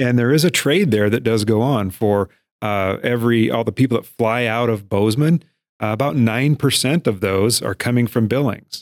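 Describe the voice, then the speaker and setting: An unremarkable speaking voice from a man with an American accent, medium in pitch, at a moderate pace with ordinary pitch variation, in a very clean recording with a silent background and a dry, close sound free of echo. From eastern Montana (Miles City). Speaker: chamber of commerce CEO. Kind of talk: casual interview.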